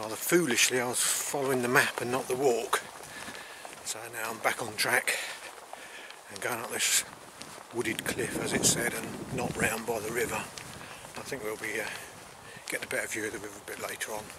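Noticeable background noise sits under a man talking at a moderate pace and medium pitch. His intonation is fairly even, and he takes long, frequent pauses. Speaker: walking vlogger. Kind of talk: walking vlog narration. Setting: outdoors on a country walk.

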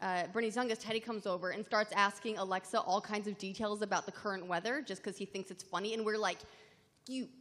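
Using fairly even intonation, a woman talks at a very fast pace. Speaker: gaming show panelist. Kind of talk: live convention panel chat. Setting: stage with audience. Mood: amused, storytelling. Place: hall.

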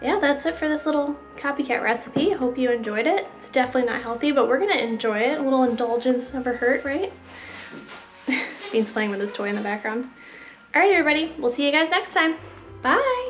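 A woman's high voice at a fairly quick pace, with light background noise. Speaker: home vlogger. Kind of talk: casual vlog chat. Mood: cheerful, relaxed. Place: home room. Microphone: phone near.

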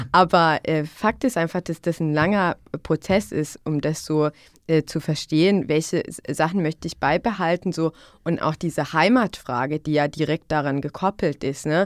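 The recording is very clean, silent in the background, with a dry, close sound and no echo. A woman speaks at a moderate pace in a very deep, low pitch with ordinary pitch variation. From Bosnia, northwest (Una-Sana region). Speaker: youth worker. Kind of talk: podcast conversation. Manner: repetitive, halting with fillers.

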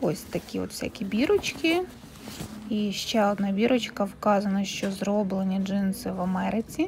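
A woman of medium pitch, with ordinary pitch variation, talks at a moderate pace while noticeable background noise carries on. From Ukraine. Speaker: vlogger. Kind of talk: fitting-room shopping vlog. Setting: second-hand shop fitting room. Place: shop. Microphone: phone near.

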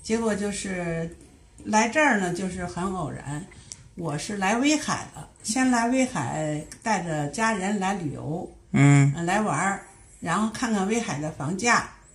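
A woman's very slow speech with lively intonation. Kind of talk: interview answer. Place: home room. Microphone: camera far.

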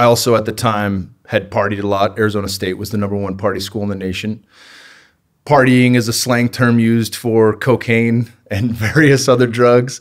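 Against a quiet background, a man with an American accent speaks at a moderate pace with fairly even intonation. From Northern California, US. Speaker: former cage fighter, podcaster. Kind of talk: casual chat. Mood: reflective, candid storytelling. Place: home room. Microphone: studio mic.

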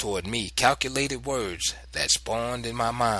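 Here is a natural reading voice with fairly even intonation.

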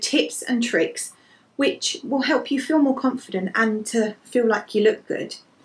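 The speaker is a woman with an English accent. Her pace is moderate. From England. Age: 30s. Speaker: lifestyle blogger. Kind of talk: fashion vlog. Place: home room. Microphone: phone near.

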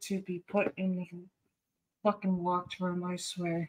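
Against a quiet background, a woman talks in an American accent. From Boston area. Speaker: cooking streamer. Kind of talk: casual live stream chat. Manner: profane, teasing. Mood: startled, annoyed, joking.

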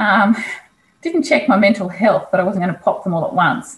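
Somewhat breathy, a woman talks with lively intonation. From Australia. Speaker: kinesiologist; interview guest. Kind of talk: casual interview. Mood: reflective, candid. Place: home room. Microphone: video call.

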